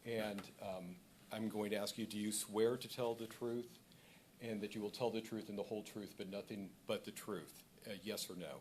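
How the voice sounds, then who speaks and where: A man's unremarkable speaking voice, moderate in pace, with fairly even intonation. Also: fairly low pitch for a man. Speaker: administrative law judge. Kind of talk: hearing proceedings.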